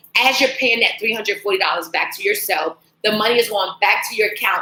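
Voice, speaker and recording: With an American accent, a woman talks at a fairly quick pace in an animated tone and a fairly high pitch. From Washington DC. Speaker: financial coach. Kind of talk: webinar presentation. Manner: fast.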